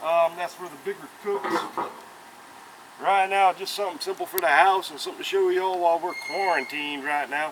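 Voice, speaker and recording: Amid noticeable background noise, a high-pitched man with a South Carolina accent speaks fairly quickly with fairly even intonation and big swings in loudness. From US South, South Carolina. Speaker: cooking YouTuber. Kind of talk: casual cooking tutorial. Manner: casual, chatty.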